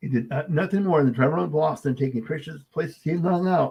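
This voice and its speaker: A man speaks at a fairly quick pace with a fairly high pitch. His voice is somewhat breathy, with lively intonation. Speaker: podcast host, filmmaker. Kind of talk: casual chat. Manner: fast.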